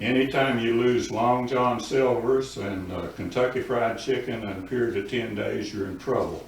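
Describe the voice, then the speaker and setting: At a moderate pace with hardly any pauses, someone with an Appalachian accent speaks in fairly even intonation through audible room echo and noticeable background noise. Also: man, medium pitch for a man. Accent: Appalachian US Southern. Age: 80s+. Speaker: public commenter at town council. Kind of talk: public comment.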